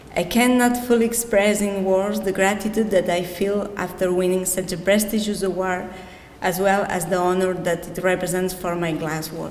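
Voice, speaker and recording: In a Catalan Spanish accent, a woman talks at medium pitch and a moderate pace with fairly even intonation. Audible room echo and noticeable background noise come through. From Catalonia, Spain. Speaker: glass artist, award winner. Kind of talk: reading aloud acceptance speech.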